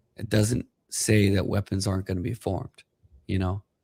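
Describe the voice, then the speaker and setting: A man with a fairly low pitch speaks in a dark, mellow, somewhat breathy tone with monotone, flat intonation. The recording is very clean and dry, close with no echo, with a silent background. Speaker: podcast co-host. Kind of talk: faith-based podcast talk.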